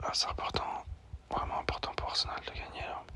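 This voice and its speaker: A man whispering over noticeable background noise. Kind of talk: ASMR whisper talk about sports news. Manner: whispered, soft-spoken.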